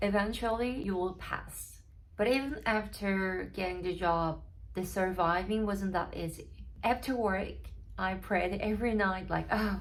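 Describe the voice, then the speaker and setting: Audible room echo surrounds the recording. A woman speaks at a fairly slow pace. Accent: Korean. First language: Korean. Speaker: barista and vlogger. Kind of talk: personal story vlog. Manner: halting, with fillers.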